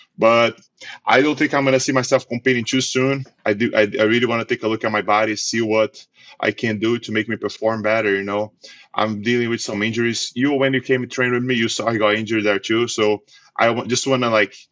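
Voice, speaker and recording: In a dry, close sound with no echo and a quiet background, a man speaks very fast at a medium pitch in a monotone, flat intonation. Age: 30s. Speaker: jiu-jitsu athlete. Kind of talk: casual chat.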